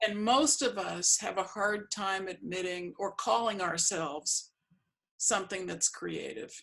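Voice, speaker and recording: Using a normal speaking voice, a woman with an American accent talks at a fairly slow pace in a medium pitch with ordinary pitch variation. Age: 60s. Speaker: artist and interviewer. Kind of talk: casual interview.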